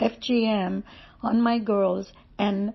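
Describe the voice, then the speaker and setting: This is a woman's voice. It sounds somewhat breathy. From India. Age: 70s. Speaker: testimony speaker. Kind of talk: testimony. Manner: hesitant with fillers.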